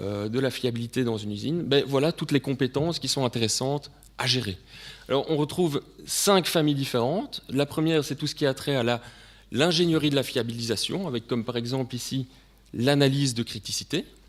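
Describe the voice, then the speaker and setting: With a Belgian accent, a man speaks at a fairly quick pace. His pitch is medium, with ordinary pitch variation. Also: very clean recording, silent background. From Belgium. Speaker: sales director presenting at a conference. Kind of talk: conference presentation.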